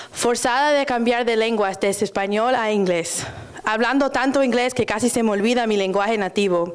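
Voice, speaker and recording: A woman's fairly high voice at a fairly quick pace, ordinary pitch variation, and noticeable background noise. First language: Spanish. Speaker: student poet. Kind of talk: poetry performance; casual stage talk. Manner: halting, many fillers.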